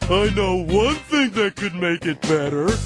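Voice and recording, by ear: A cartoonish character voice at a middle pitch and moderate pace, with clear music in the background.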